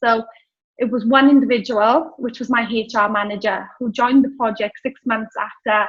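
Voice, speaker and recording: In a Welsh accent, a woman speaks at a high pitch with fairly even intonation. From Wales. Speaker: business founder. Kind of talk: interview.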